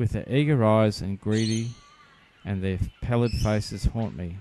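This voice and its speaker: Here is an unremarkable speaking voice from a man with a fairly low pitch. He moves at a moderate pace with ordinary pitch variation. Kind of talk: poetry reading.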